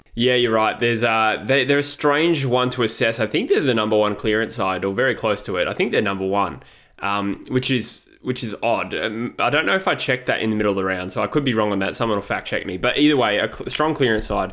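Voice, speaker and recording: Speaking very fast with hardly any pauses, a man with an Australian accent keeps a medium pitch and ordinary pitch variation. The recording is very clean, with a silent background. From Western Australia. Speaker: football podcast co-host. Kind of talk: casual sports chat.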